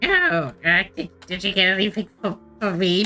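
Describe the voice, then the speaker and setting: A female-sounding voice performs a put-on character voice with a nasal quality. The pitch is medium and the pace moderate. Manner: pathetic, timid.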